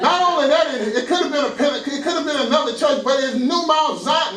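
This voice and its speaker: A man's extremely high-pitched voice with an American accent, fairly quick pace and ordinary pitch variation, over noticeable background noise. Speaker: pastor. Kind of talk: sermon.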